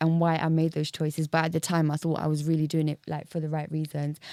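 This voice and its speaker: With a strong English accent, a woman speaks at a very deep, low pitch in a dark, mellow tone, captured as a dry, close sound with no echo on a very clean recording with a silent background. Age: 30s. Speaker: podcast guest. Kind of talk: casual chat.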